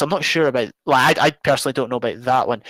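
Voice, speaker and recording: A man with ordinary pitch variation, dry and close with no echo, on a very clean recording with a silent background. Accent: Scottish. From Scotland. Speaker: YouTuber and gamer. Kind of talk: live stream charity talk. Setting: live stream. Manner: hesitant, many fillers.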